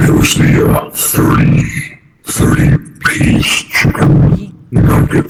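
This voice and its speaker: In a put-on character voice with a clear echo, a man speaks at a very slow pace and fairly high pitch, using a deadpan tone and monotone, flat intonation. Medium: machinima. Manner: blunt, deadpan.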